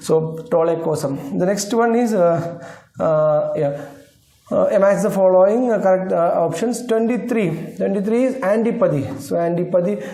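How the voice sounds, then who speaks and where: A man's high voice with ordinary pitch variation at a moderate pace, amid noticeable background noise and audible room echo. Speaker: exam prep teacher. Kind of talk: lecture.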